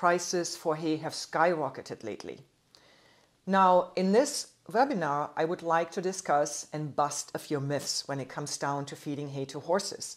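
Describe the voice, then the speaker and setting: A woman at a fairly low pitch and moderate pace, with ordinary pitch variation, over a quiet background. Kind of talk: lecture. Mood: friendly, informative. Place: office.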